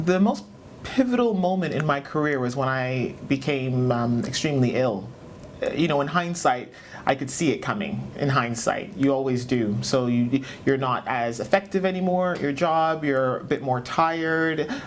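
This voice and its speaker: At a moderate pace, a woman with a Canadian accent speaks with a very deep, low pitch and lively intonation over noticeable background noise. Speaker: business leader. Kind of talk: interview.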